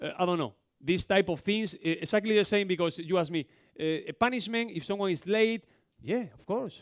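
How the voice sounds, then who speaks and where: A man with a Spanish accent speaks at a fairly quick pace in a dry, close sound with no echo, on a very clean recording with a silent background. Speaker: basketball coach. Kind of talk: coaching clinic talk. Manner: fast.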